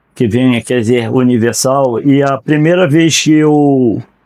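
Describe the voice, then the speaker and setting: In a plain, everyday voice, a man of medium pitch talks at a fairly slow pace with ordinary pitch variation. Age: 60s. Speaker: retired law graduate. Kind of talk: podcast interview.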